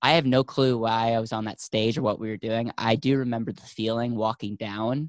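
In a plain, everyday voice, a man talks at a fairly quick pace with medium pitch and fairly even intonation, recorded dry and close with no echo against a quiet background. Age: 20s. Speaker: financial company founder. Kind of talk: interview.

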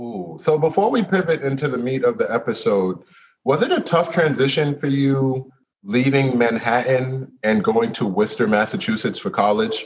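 At a moderate pace and medium pitch, a man speaks with very wide pitch swings. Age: 40s. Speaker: podcast host. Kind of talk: casual interview chat. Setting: video call.

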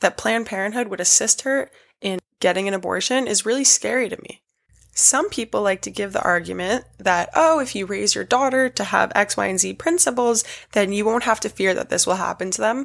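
Speaking at a fairly quick pace in an American accent, a woman at medium pitch shows vocal fry and ordinary pitch variation on a very clean recording with a silent background. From New York City. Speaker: podcast host, political commentator. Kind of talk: solo monologue podcast.

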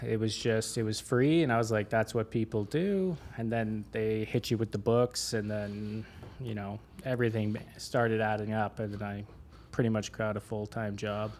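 A man with a Canadian accent, a normal speaking voice, a fairly low pitch and fairly even intonation. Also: moderate pace. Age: 30s. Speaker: renovation contractor. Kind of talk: casual interview chat.

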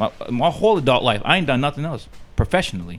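This man talks at a very fast pace with an American accent and a fairly high pitch. His voice has vocal fry and very wide pitch swings. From US. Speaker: pro wrestler. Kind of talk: casual chat.

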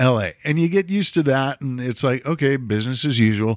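This man has an unremarkable speaking voice with an American accent and lively intonation. He talks fairly quickly against a quiet background. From Chicago suburbs (Mount Prospect). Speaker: podcast host. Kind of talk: casual chat. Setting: studio.

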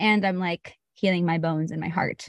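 Over a quiet background, a woman with an American accent talks fairly quickly in an unremarkable speaking voice, the sound dry and close with no echo. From Austin, Texas. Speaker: yoga teacher. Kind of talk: casual chat. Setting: video call.

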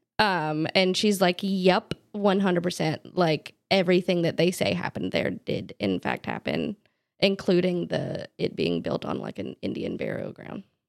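A woman with an American accent speaks at a moderate pace, the sound dry and close with no echo. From North Carolina, Charlotte area. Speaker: dog groomer. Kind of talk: casual chat. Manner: mumbling.

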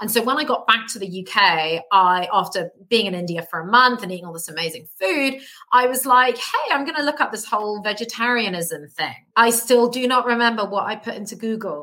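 With a British accent, a woman speaks in a fairly high voice with a bright, sharp tone. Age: 30s. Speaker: plant-based health coach. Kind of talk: casual interview. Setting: remote call.

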